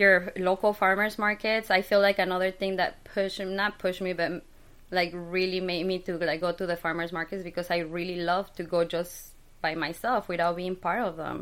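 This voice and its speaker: A woman of medium pitch with a Spanish accent speaks in a monotone, flat way at a moderate pace, in a very clean recording with a silent background. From Mexico City. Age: 30s. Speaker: skincare business owner. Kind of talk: interview.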